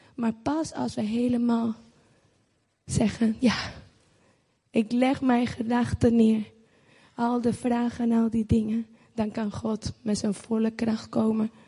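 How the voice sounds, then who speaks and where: A woman's somewhat breathy, dark and mellow voice at a fairly high pitch, very slow, with long, frequent pauses. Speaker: church member. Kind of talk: testimony. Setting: church with audience.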